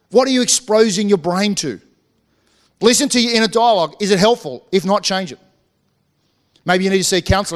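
In an Australian accent, a man talks at a very fast pace with a high pitch. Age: 40s. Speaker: pastor. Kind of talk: sermon. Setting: church.

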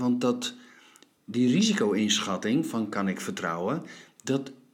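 The recording carries audible room echo as a man talks at a fairly slow pace. His pitch is medium, with ordinary variation. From Friesland, Netherlands. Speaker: podcast host. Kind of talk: philosophical conversation. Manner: halting.

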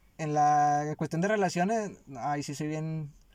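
A man with a dark, mellow tone and ordinary pitch variation is heard on a very clean recording with a silent background. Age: 20s. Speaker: podcast co-host, student and warehouse worker. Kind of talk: casual chat.

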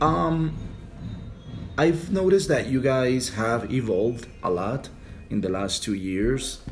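A man at a very slow pace, with very wide pitch swings and long, frequent pauses. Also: medium pitch for a man. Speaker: English teacher and podcast host. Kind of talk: casual interview in English. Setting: recording with school band rehearsing in background.

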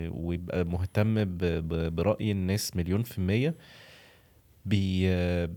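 A man's very deep, low voice in an Egyptian accent, dark and mellow in tone, fairly slow, with fairly even intonation. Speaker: food content creator. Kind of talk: casual podcast interview.

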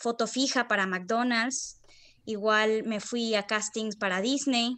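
Against a quiet background, a woman speaks very slowly at a fairly high pitch, her intonation fairly even. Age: 20s. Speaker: acting student. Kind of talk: interview.

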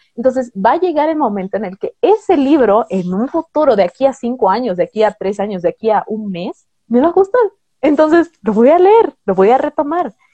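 The woman's voice is high, with a dark, mellow tone and very wide pitch swings. She talks at a fairly quick pace, the sound dry and close with no echo. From Bolivia. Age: 20s. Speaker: booktuber. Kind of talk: interview.

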